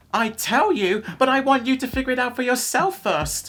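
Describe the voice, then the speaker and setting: A put-on character voice, female-sounding and high-pitched for a woman, with a cheerful, warm tone at a moderate pace. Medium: read story.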